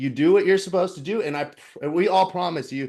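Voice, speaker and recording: Using lively intonation, a man speaks very fast at a high pitch. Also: quiet background. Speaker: fitness coach. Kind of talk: online class presentation. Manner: casual, filler-heavy.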